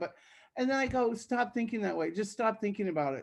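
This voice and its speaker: A woman's ordinary speaking voice, an ordinary speaking voice with lively intonation and a fairly quick pace, over a quiet background. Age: 60s. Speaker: workshop participant, retired worker. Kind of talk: casual sharing in workshop.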